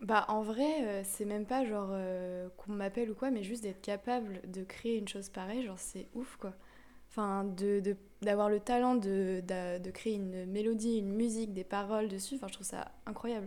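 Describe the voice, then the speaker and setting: A woman with an ordinary speaking voice talks at medium pitch and a moderate pace, her intonation fairly even. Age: 20s. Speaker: architecture student. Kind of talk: casual chat.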